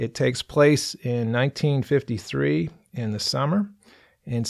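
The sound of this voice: An unforced reading voice carries the clip.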